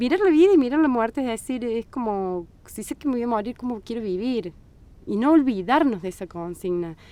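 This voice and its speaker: A woman speaks at a fairly quick pace in a fairly high, dark and mellow voice, with very wide pitch swings and big swings in loudness. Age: 40s. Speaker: Bach flower therapist. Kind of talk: podcast interview. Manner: halting.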